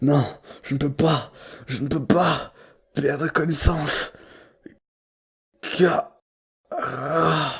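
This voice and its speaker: Someone in a put-on character voice speaks very slowly in a raspy, low-to-middle pitch, with long, frequent pauses. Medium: dub. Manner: panicked, distressed.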